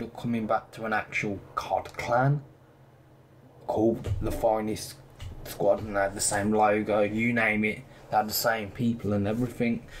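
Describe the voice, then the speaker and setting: A man talks at medium pitch and a moderate pace. Noticeable background noise runs underneath. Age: 20s. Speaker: gaming commentator. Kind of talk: casual gaming commentary. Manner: loud.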